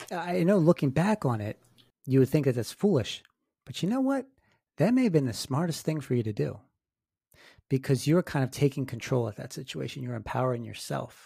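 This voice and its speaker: Somewhat breathy with a dark, mellow tone, a man speaks at medium pitch and a fairly quick pace, with lively intonation and long, frequent pauses. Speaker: paranormal podcast host and author. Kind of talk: interview with scripted intro. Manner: formal, measured.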